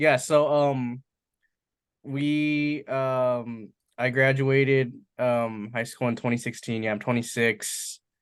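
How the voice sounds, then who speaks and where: Very slowly and with fairly even intonation, a man speaks at medium pitch over a quiet background. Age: 20s. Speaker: entrepreneur. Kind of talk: casual talk. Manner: casual, filler-heavy.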